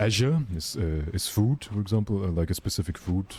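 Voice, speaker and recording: Someone with a German accent talks at a fairly slow pace over noticeable background noise. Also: man. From Germany. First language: Russian. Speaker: gaming streamer. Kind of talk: live stream chat. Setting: live stream. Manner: casual, animated.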